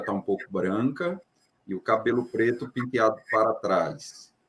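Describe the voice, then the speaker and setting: At a fairly slow pace, a man talks in a normal speaking voice. His intonation is lively. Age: 40s. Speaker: doctor, book author. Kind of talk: self-description at live stream.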